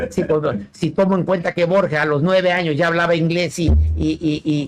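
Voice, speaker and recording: With music in the background, a man speaks at a moderate pace in a fairly high pitch with ordinary pitch variation. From Mexico, Chiapas. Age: 60s. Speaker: poet and philosopher. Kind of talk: radio interview. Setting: radio studio. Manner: halting, many repetitions.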